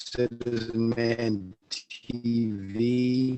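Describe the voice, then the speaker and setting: Music plays in the background as a man speaks with an American accent. His pitch is medium and his intonation fairly even. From upstate New York. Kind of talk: casual chat. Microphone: bad connection, audio slowed down.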